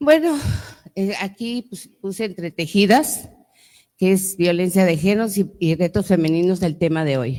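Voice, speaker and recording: A woman with a dark, mellow tone and medium pitch speaks at a fairly slow pace with lively intonation, long, frequent pauses and big swings in loudness, recorded with a dry, close sound and no echo. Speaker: lawyer and author, panelist. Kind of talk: panel talk to audience. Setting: museum event with audience.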